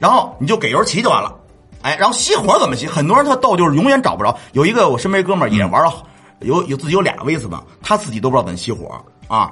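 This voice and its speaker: Against music in the background, a man talks at a very fast pace with a high pitch and very wide pitch swings. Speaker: motorcycle vlogger and restaurant owner. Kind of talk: casual chat.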